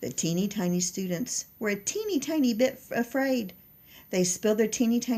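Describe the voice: The recording features plain reading aloud.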